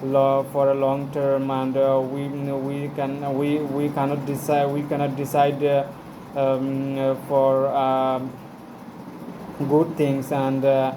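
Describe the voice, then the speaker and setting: With a Bengali accent, a man speaks at a very slow pace in a monotone, flat intonation and a fairly high pitch. Audible room echo and noticeable background noise are present. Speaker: English learner vlogger. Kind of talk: casual monologue. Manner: halting, many fillers.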